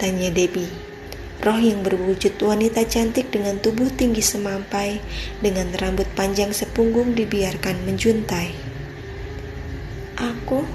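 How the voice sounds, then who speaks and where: A woman talks at medium pitch and a fairly slow pace, her intonation fairly even and her loudness very even. Music plays in the background. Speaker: voice actor. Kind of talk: read story. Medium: read story.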